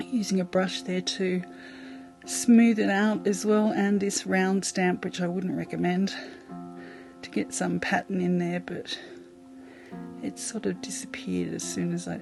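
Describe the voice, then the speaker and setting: Speaking with an Australian accent, a woman talks at a fairly slow pace with long, frequent pauses while music plays in the background. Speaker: mixed media artist. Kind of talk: craft tutorial voice-over. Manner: casual, chatty.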